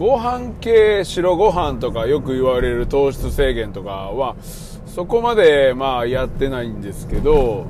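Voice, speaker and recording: A man speaks at a fairly slow pace in a Kansai accent. Noticeable background noise and audible room echo surround him. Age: 40s. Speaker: podcast host. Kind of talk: casual monologue. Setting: in a car.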